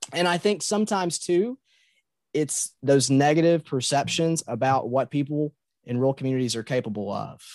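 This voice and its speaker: Recorded dry and close with no echo against a quiet background, a man speaks at a fairly high pitch with a Kentucky Appalachian accent. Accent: Kentucky Appalachian drawl. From Muhlenberg County, Kentucky. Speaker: middle school teacher and writer. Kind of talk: casual interview chat.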